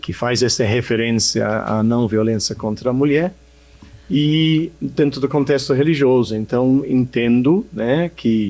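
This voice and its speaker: A man's dark, mellow tone with an English accent, at a fairly slow pace. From England. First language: English (speaking Portuguese). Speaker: social project leader. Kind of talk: podcast interview. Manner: halting.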